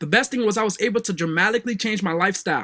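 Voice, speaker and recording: Raising and projecting his voice, a man with a West African accent talks at a very fast pace and high pitch with a bright, sharp tone, ordinary pitch variation, and a dry, close sound with no echo. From West Africa, Liberia. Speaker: online marketing coach. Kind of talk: sales pitch.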